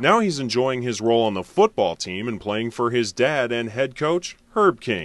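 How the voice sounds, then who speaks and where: A man with an American accent uses a normal speaking voice at medium pitch. He keeps a moderate pace with hardly any pauses. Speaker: radio sports reporter. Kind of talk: radio news report.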